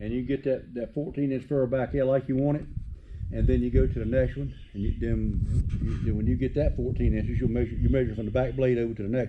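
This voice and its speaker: A man talks at a very fast pace. He has a Southern US accent. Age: 70s. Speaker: farmer and shop builder. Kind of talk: casual chat.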